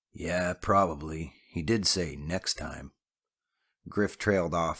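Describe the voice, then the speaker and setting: A man uses a put-on character voice, very deep, low and raspy, with fairly even intonation. He speaks at a fairly slow pace on a very clean recording with a silent background. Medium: read story. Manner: curt, gruff.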